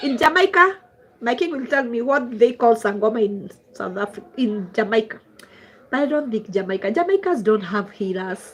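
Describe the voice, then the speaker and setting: A woman with a Kenyan accent speaks at a moderate pace, her pitch swinging very widely. Noticeable background noise runs behind her. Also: fairly high pitch for a woman. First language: Swahili. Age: 40s. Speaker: traditional healer. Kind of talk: livestream chat. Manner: code-switching English and Swahili.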